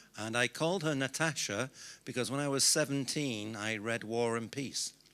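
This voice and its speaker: At a fairly slow pace, a man with a British accent speaks in a bright, sharp tone with ordinary pitch variation on a very clean recording with a silent background. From Britain. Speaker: business consultant. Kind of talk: conference speech.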